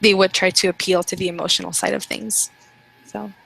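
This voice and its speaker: In a dry, close recording with no echo, a woman with a non-native accent talks at a fairly quick pace and medium pitch. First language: not English. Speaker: student in online class. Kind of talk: group discussion.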